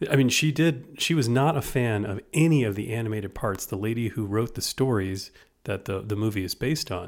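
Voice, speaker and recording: Recorded very cleanly against a silent background, a man with an American accent uses a normal speaking voice at medium pitch, fairly quick pace and ordinary pitch variation. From United States. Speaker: podcast co-host. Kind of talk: casual chat.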